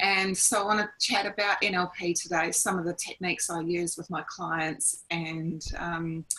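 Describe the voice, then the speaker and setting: A woman talks at a moderate pace with fairly low pitch, fairly even intonation and hardly any pauses. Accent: New Zealand. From New Zealand. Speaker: life coach and NLP trainer. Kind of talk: online presentation. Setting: video call. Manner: casual, many fillers.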